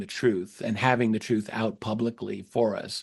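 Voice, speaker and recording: A man with a normal speaking voice talks at medium pitch and a moderate pace. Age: 60s. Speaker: UFO researcher and historian. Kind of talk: interview conversation.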